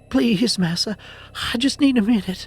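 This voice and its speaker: A man is speaking. Music plays in the background. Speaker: horror story narrator. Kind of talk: horror story narration.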